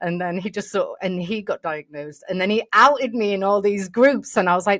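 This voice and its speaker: Someone with an English accent talks at a fairly quick pace with ordinary pitch variation, the sound dry and close with no echo. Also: woman, medium pitch for a woman. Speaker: podcast host. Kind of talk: casual interview. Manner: animated.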